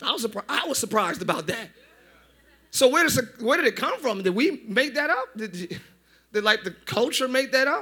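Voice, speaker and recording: A man with an American accent, extremely high-pitched, raised and projected, bright and sharp in tone, animated, with lively intonation, a fairly quick pace and long, frequent pauses. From northern US. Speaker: pastor. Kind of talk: sermon. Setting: church service with congregation.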